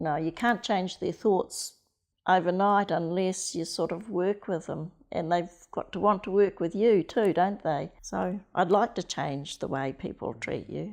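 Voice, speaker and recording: A woman with a New Zealand accent speaks at a fairly slow pace in a medium pitch with ordinary pitch variation, against a quiet background. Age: 70s. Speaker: interviewee sharing life story. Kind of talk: personal testimony.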